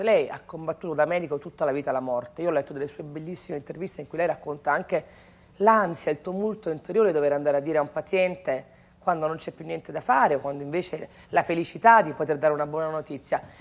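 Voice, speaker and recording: Speaking at a very fast pace, the woman has a very deep, low pitch. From Italy. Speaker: TV host. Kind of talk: TV talk show interview. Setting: TV studio with audience. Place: studio.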